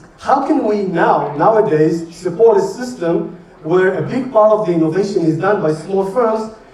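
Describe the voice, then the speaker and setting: A man with a high voice and ordinary pitch variation is heard with audible room echo and noticeable background noise. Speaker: professor. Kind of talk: lecture. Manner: fast.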